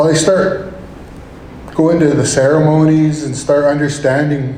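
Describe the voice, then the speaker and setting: Over noticeable background noise, a man speaks at a fairly slow pace in a fairly high pitch, his intonation monotone and flat. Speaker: state representative, hunting guide, storyteller. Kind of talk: live storytelling to an audience. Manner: casual, conversational.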